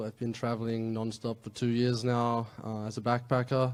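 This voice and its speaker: Speaking at a moderate pace, a man with an Australian accent keeps a medium pitch and a monotone, flat intonation. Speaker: travel blogger. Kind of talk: panel discussion.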